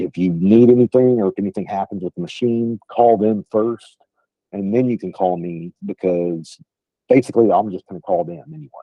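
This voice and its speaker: In a strong West Texas accent, a man talks at a moderate pace with a fairly low pitch. His loudness swings widely, while his pitch varies in an ordinary way. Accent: thick West Texas. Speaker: sales trainer. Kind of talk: training call. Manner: casual, filler-heavy.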